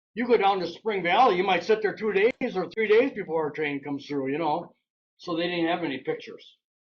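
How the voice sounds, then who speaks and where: Here a man speaks with an Upper Midwest accent. His intonation is lively. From Wisconsin. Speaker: local railroad historian and author. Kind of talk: slide presentation talk. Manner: fast; casual.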